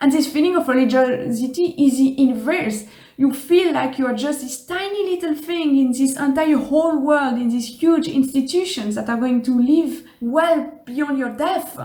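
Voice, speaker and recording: With a French accent, the speaker has a dark, mellow tone and ordinary pitch variation, leaving hardly any pauses. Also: woman, high pitch for a woman, moderate pace. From Switzerland. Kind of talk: casual talk to camera.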